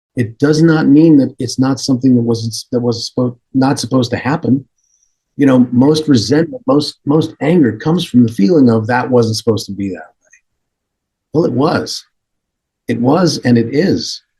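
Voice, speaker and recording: Somewhat breathy and dark, mellow in tone, a man speaks at medium pitch with ordinary pitch variation. His pace is moderate. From Canada. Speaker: voice actor and comedian. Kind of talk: podcast interview answer, conversational storytelling. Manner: calm, reflective, measured.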